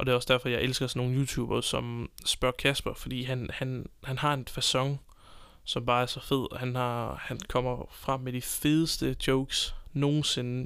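The man's medium-pitched voice stays monotone, with flat intonation. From Denmark, Copenhagen. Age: 20s. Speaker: podcast host. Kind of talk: unscripted solo monologue. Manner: hesitant, many filler sounds.

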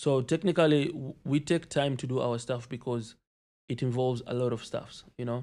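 Very clean, with a silent background, this recording has a normal speaking voice moving at a moderate pace with fairly even intonation. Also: man, medium pitch for a man. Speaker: rapper, environmental engineering student. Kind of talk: casual interview chat.

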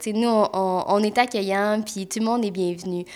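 With a Quebec accent, a woman talks at a fairly high pitch and with fairly even intonation, on a very clean recording with a silent background. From Quebec, Mont-Tremblant. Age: 20s. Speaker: massage therapist and podcast co-host. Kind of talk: casual chat.

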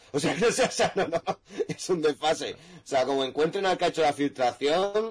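A man speaks at a moderate pace in a fairly high pitch, with ordinary pitch variation, very even loudness and noticeable background noise. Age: 20s. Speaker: jurist. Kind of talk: casual chat. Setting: live stream.

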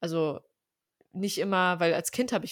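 On a very clean recording with a silent background and a dry, close sound with no echo, a woman with an unremarkable speaking voice talks at a fairly quick pace at medium pitch with ordinary pitch variation. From Germany, Armenian family. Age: 20s. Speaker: podcast co-host. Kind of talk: casual chat.

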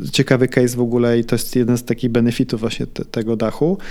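This man's voice sits at a medium pitch. He talks at a fairly quick pace. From Sweden. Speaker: entrepreneur and property investor. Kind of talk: interview. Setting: office. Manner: halting, repeats words.

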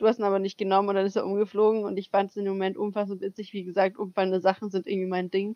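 Speaking very fast with hardly any pauses, a woman keeps a monotone, flat intonation. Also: medium pitch for a woman. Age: 20s. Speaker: podcast co-host, au pair. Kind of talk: casual chat. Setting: video call.

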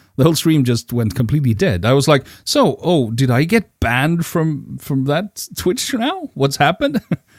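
A man with a Swedish accent talks at a moderate pace with a fairly high pitch and lively intonation. The recording is very clean with a silent background and a dry, close sound with no echo. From Sweden. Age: 50s. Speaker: podcast co-host, event organizer. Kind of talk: casual chat. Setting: home recording in bedroom.

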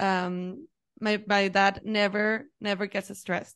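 A woman with a Mexican accent speaks with fairly even intonation against a quiet background. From Mexico. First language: Spanish. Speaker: HR professional. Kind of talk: casual interview. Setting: video call.

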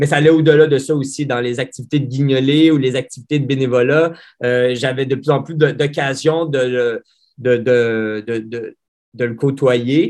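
A medium-pitched man at a fairly slow pace, his intonation fairly even. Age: 30s. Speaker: pediatrician. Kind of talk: interview. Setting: video call. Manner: halting, many repetitions.

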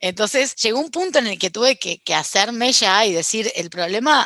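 A woman speaks in a Rioplatense accent with lively intonation at a moderate pace. The sound is dry and close, with no echo. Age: 30s. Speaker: podcast guest. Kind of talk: casual chat.

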